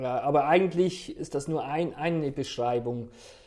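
A man's voice with a dark, mellow tone. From Switzerland, canton Aargau. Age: 40s. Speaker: gospel choir member. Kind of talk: casual interview.

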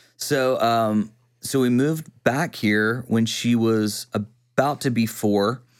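On a very clean recording with a silent background, a man with an East Texas accent speaks at a medium pitch and a very slow pace, with fairly even intonation and very even loudness. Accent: East Texas Southern US. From East Texas (Quitman). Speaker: worship pastor and videographer. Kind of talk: casual chat. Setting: studio.

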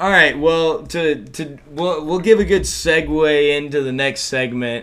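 A man with an American accent talks fairly slowly at a fairly high pitch with ordinary pitch variation, against noticeable background noise. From Texas, Dallas. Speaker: college student. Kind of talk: casual chat.

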